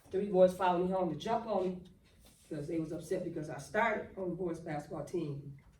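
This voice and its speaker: Audible room echo surrounds a woman's voice. She speaks at a fairly quick pace with ordinary pitch variation. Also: fairly low pitch for a woman. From Michigan, Flint. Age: 60s. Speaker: motivational speaker. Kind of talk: motivational talk. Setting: talk to a basketball team. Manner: animated.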